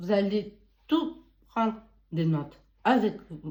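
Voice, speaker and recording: Her voice somewhat breathy with a dark, mellow tone, a woman talks at a medium pitch. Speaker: beauty and wellness advice youtuber. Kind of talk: casual advice monologue. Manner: halting, with false starts.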